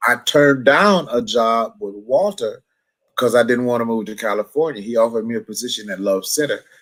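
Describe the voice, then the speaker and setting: On a very clean recording with a silent background, a man with an American accent uses a normal speaking voice at medium pitch, with ordinary pitch variation and a fairly quick pace. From US Midwest, Milwaukee, Wisconsin. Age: 60s. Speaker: gospel musician. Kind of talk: casual interview.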